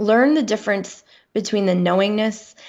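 Moderate-paced female speech over a quiet background. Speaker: author and speaker. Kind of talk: interview. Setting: remote call. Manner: confident and joyful.

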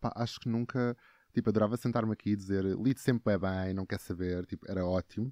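A man with a fairly low voice, very fast delivery, and fairly even intonation. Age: 20s. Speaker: actor and TikTok creator. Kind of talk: casual chat.

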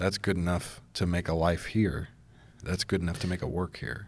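A man with a very deep, low pitch speaks at a moderate pace in a monotone, flat intonation on a very clean recording with a silent background. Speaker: podcast host and church media editor. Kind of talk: casual long-form interview.

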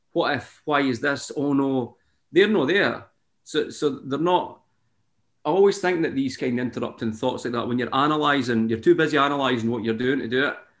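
The speaker has a Scottish accent and ordinary pitch variation. The pace is fairly quick. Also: man, fairly high pitch for a man. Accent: Scottish (Fife). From Scotland, Fife. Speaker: singer-songwriter. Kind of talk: casual interview chat.

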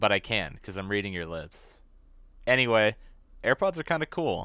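With a bright, sharp tone and lively intonation, a man talks at a moderate pace. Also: very clean recording, silent background. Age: 20s. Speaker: podcast host. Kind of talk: casual chat. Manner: animated.

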